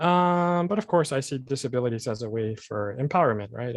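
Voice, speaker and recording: In an American accent, a man talks at a fairly quick pace with ordinary pitch variation and a plain, everyday voice. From San Diego, California. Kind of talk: meeting self-introduction.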